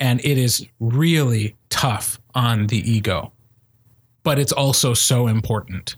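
Someone speaks at a very slow pace in a somewhat breathy voice with ordinary pitch variation, on a very clean recording with a silent background. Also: man. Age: 30s. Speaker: podcast host and speech coach. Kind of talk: casual chat.

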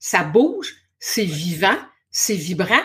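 Using lively intonation, a woman talks at a very slow pace. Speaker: spiritual coach and hypnotherapist. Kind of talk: casual interview chat. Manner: energetic.

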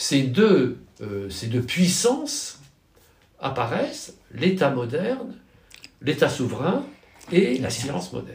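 A man at a very slow pace, with long, frequent pauses and audible room echo. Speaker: professor of political philosophy. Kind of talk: interview. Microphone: poor sound quality.

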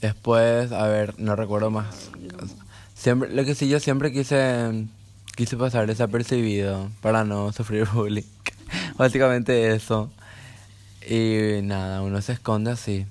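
A man talks at medium pitch with fairly even intonation. He leaves long, frequent pauses. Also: fairly slow pace. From Paraguay. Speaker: podcast host. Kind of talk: casual chat.

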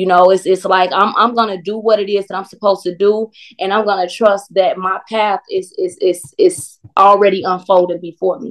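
In an unremarkable speaking voice, a woman with an American accent talks at medium pitch and a moderate pace, her intonation fairly even. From Chicago, US Midwest. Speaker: singer and recording artist. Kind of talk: casual interview chat.

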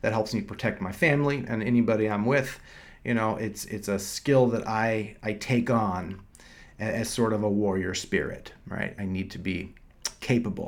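A man with a plain, everyday voice speaks at a moderate pace, his fairly low pitch carried on fairly even intonation. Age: 40s. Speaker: doctor and podcast host. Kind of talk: solo podcast monologue. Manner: casual, with frequent fillers and repetitions.

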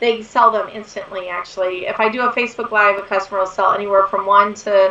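At a fairly quick pace, a woman with a bright, sharp tone and medium pitch speaks in fairly even intonation.

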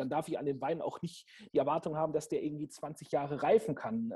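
Pitched fairly high, the man's voice carries a dark, mellow tone. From Franconia, Germany. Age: 30s. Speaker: sommelier and restaurant manager. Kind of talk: interview.

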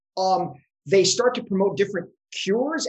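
A moderate pace and lively intonation from a man, in a normal speaking voice. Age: 50s. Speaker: economic historian, professor. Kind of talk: casual academic interview.

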